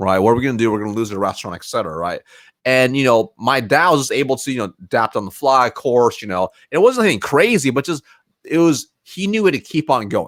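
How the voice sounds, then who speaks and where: A man at medium pitch, very fast, with very wide pitch swings and a dry, close sound with no echo. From US West Coast, Springfield, Oregon. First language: Mandarin Chinese. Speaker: sales professional. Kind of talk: podcast interview.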